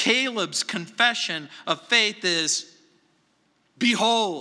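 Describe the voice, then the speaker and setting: A man with a high pitch and a bright, sharp tone speaks in a raised, projected voice, his lively intonation stretched over a very slow pace. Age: 60s. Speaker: pastor. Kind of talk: sermon. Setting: church.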